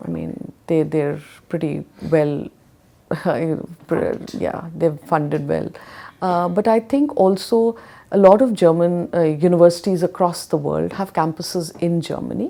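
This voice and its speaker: A woman with an Indian accent, fairly low pitch, dark, mellow tone, ordinary pitch variation and fairly slow pace. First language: Hindi. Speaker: education consultant. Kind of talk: interview.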